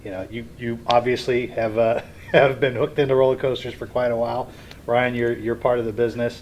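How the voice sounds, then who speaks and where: A man with an American accent speaks at a fairly quick pace and medium pitch, with monotone, flat intonation. His loudness swings widely over noticeable background noise. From Ohio/Kentucky, Cincinnati area. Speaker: roller coaster engineer. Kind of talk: interview.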